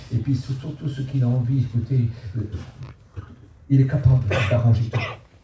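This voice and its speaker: A man speaks at a moderate pace with long, frequent pauses, in a medium-pitched, dark, mellow voice that is somewhat breathy. His delivery is monotone and flat, with audible room echo. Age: 70s. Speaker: preacher. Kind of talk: sermon. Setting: church. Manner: halting.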